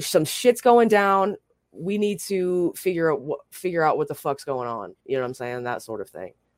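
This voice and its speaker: Her pitch fairly low, a woman speaks at a moderate pace with very wide pitch swings and big swings in loudness. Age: 30s. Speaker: twitch streamer. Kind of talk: casual chat.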